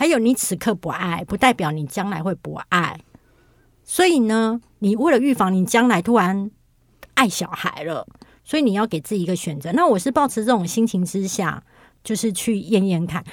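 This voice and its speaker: Moderate pace, lively intonation, and an unremarkable speaking voice. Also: woman, medium pitch for a woman. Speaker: writer and internet influencer. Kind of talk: casual interview chat.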